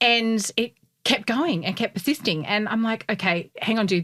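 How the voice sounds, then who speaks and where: Recorded very cleanly over a silent background, a woman with an Australian accent speaks in an animated tone. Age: 40s. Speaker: podcast co-host. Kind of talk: casual chat.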